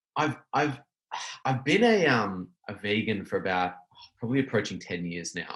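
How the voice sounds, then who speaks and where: An Australian accent comes through at a moderate pace. The intonation is lively. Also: man, medium pitch for a man. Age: 30s. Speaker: small business owner. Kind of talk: casual chat.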